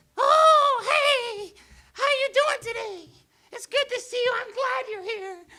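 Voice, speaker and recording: A shrill, loud, put-on character voice at an extremely high pitch, delivered in a cheerful tone at a fairly slow pace. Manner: cheerful, greeting.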